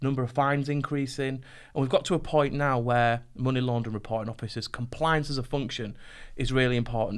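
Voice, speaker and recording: A man at a fairly quick pace, fairly even intonation, quiet background. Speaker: podcast host. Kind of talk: interview conversation. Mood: relaxed, lightly humorous. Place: studio. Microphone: studio mic.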